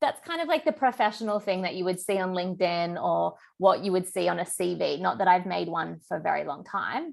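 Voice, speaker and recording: At a fairly quick pace, a woman talks with hardly any pauses. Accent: Australian. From Australia. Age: 30s. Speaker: business coach and therapist. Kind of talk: online masterclass. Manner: casual, filler-heavy.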